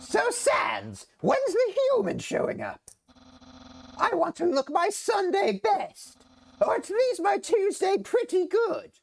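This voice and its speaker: In a put-on character voice, the speaker talks at a fairly slow pace with an extremely high pitch. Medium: game stream. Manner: loud, excitable, theatrical.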